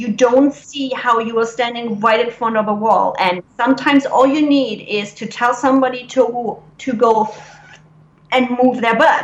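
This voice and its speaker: A high-pitched woman's voice with a German accent, fairly even intonation and a moderate pace, amid noticeable background noise. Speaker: business coach. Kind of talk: interview. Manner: blunt.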